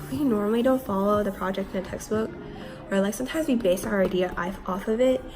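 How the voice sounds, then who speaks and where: A woman's medium-pitched voice over music in the background. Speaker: English teacher in Korea. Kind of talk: casual vlog talk to camera.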